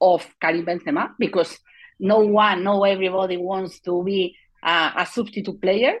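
A woman with a Spanish accent, speaking at a fairly slow pace. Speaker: football journalist. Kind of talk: interview conversation. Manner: halting, hesitant English.

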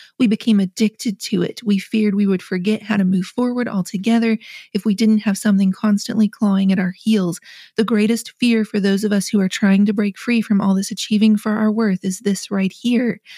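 A somewhat breathy woman's voice at medium pitch, dark and mellow in tone, at a fairly quick pace with a dry, close sound and no echo. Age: 40s. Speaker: author and businesswoman. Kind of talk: casual chat. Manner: animated.

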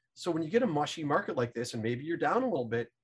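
The speaker is a man with a fairly high pitch. His voice sounds somewhat breathy. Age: 50s. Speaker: fund manager and stock investor. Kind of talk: interview.

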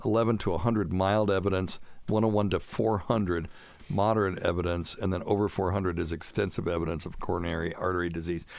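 Very fast and very deep, a man's low-pitched voice runs with fairly even intonation. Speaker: physician and radio show host. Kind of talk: casual chat, medical Q&A podcast. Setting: studio.

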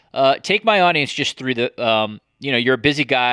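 Here is a man with an unremarkable speaking voice at medium pitch. The recording is very clean and dry, with a close sound, no echo and a silent background. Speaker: podcast host. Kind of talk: interview.

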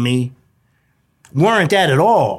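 Animated and at a moderate pace, a man speaks with very wide pitch swings. The recording is very clean, with a silent background. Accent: New York. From New York, Brooklyn. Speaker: nonprofit founder in prisoner reentry, formerly incarcerated. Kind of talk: interview testimony. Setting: radio studio.

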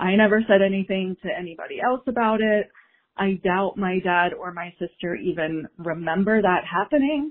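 A woman's normal speaking voice, medium in pitch, at a moderate pace with ordinary pitch variation. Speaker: listener caller. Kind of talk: storytelling. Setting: phone call.

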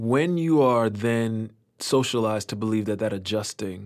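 A man with an American accent speaks in a plain, everyday voice at a fairly low pitch and moderate pace. The recording is very clean, with a silent background. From Liberty City, Miami, Florida. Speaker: playwright and drama professor. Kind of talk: interview conversation.

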